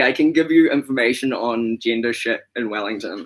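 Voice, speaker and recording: A man talks with a New Zealand accent. His pace is moderate and his pitch variation ordinary. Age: 20s. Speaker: activist guest. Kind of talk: casual chat. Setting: livestream.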